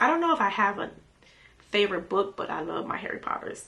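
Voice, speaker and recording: Noticeable background noise sits behind a woman who talks fairly quickly in an American accent. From Miami, Florida. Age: 40s. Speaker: beauty vlogger. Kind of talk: casual chat.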